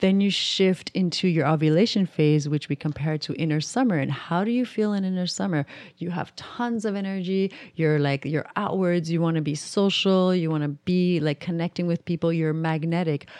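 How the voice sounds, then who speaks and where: A woman speaks in a normal speaking voice at a moderate pace with hardly any pauses. Her pitch variation is ordinary, and the background is quiet. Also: fairly low pitch for a woman. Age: 30s. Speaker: menstrual cycle educator and yoga instructor. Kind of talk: interview. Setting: studio.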